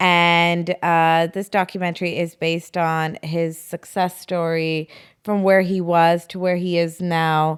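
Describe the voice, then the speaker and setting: Monotone, flat delivery from a woman with a Toronto accent, on a very clean recording with a silent background. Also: fairly low pitch for a woman. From Canada, Toronto. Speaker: actress and influencer. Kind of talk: podcast interview.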